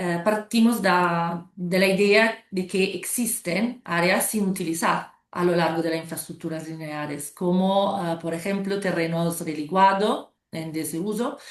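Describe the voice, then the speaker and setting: Speaking at a fairly slow pace with an Italian accent, a woman uses a fairly low pitch and fairly even intonation over a quiet background. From Italy. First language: Italian (speaking Spanish). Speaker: motorway company sustainability manager. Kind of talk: panel discussion. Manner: halting.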